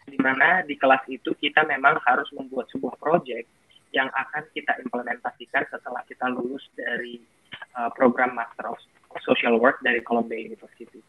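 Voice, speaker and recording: A man talks at a fairly quick pace and a medium pitch, with fairly even intonation and big swings in loudness. It is a plain, everyday voice. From North Sumatra, Indonesia (Batak area, Sidikalang). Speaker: foundation founder, scholarship alumnus. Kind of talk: talk show interview. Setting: virtual event, online talk show.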